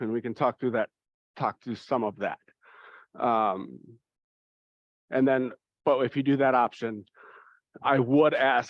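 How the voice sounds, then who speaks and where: Fairly slow and fairly even in intonation, the speech is broken by long, frequent pauses. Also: man, medium pitch for a man. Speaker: church youth confirmation leader. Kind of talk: parent information meeting.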